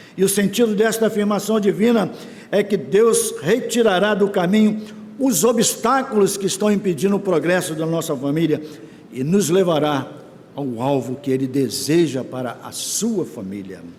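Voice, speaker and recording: A man's high-pitched voice with lively intonation at a moderate pace, amid noticeable background noise and audible room echo. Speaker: church elder preaching. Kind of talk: sermon.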